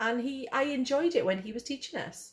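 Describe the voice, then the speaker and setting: A woman with a Welsh accent. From Wales. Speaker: vlogger. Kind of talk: casual chat.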